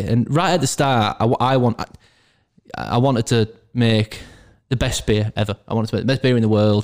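A man with a Yorkshire accent speaks at a medium pitch with ordinary pitch variation, in a very clean recording with a silent background. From northern England, Castleford, West Yorkshire. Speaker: brewery owner. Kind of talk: casual chat. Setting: in person recording.

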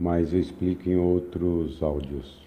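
A man speaks at a very slow pace in a dark, mellow tone, somewhat breathy, with fairly even intonation. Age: 60s. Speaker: spiritual group leader and chemistry professor. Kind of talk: recorded spiritual talk. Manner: halting.

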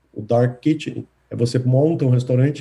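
A man's somewhat breathy voice, dark and mellow in tone, sits at a medium pitch with monotone, flat intonation. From Brazil, Recife (Pernambuco). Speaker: tech company executive. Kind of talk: interview.

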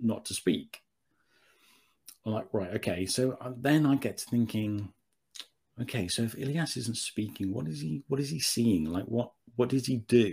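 Speaking in a medium pitch, a man keeps a moderate pace with long, frequent pauses. His voice is somewhat breathy. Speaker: writer. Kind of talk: casual chat. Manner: halting.

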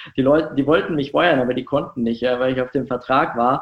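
This man has a normal speaking voice, pitched in the medium range, with fairly even intonation. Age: 20s. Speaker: startup founder. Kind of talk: interview.

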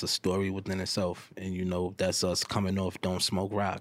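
A man with a New York accent speaks in a very deep, low pitch with monotone, flat intonation. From New York City. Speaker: rapper. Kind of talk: casual interview chat. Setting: podcast studio.

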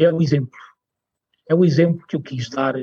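A man talks fairly quickly, his intonation fairly even and his voice somewhat breathy. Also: dry, close sound with no echo. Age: 40s. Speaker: cultural mediator. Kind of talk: interview. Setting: studio.

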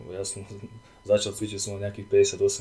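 A man's fairly low voice in a flat monotone, over noticeable background noise. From eastern Slovakia, Prešov region. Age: 20s. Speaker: fitness coach and project manager. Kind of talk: casual chat.

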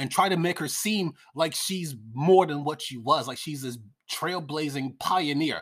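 Over a very clean recording with a silent background, an animated speaker with an American accent talks at a moderate pace. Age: 50s. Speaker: political commentator. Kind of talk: casual rant. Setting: at home.

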